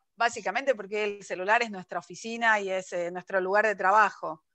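Speaking at a fairly quick pace, a woman has a bright, sharp tone and a fairly high pitch. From Argentina, Buenos Aires. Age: 40s. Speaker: writer. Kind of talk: interview. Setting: video call.

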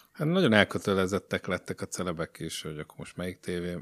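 The sound of a man's voice is dry and close, without any echo. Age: 30s. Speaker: video reporter. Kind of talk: casual chat. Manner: halting.

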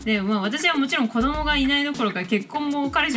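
The speaker's intonation is lively, and noticeable background noise runs beneath it. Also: woman. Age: 20s. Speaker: podcast host, illustrator and track maker. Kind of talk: solo podcast talk. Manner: casual, frequent laughter.

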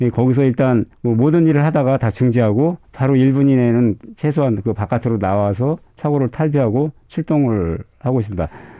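A man talks at medium pitch with ordinary pitch variation and hardly any pauses. His loudness stays very even. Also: moderate pace. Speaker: firefighter. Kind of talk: interview. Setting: studio. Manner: halting.

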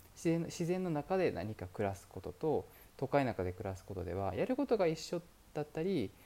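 In a very clean recording with a silent background, a man's fairly high, dark, mellow voice moves through very wide pitch swings. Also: moderate pace. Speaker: podcast host, entrepreneur. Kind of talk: solo monologue podcast. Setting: currently in Dubai. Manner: polite, many fillers.

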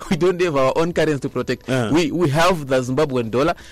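Over noticeable background noise, a man with a fairly high voice talks at a very fast pace with lively intonation. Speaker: business commentator. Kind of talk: radio business segment. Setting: radio studio. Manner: halting, many repetitions.

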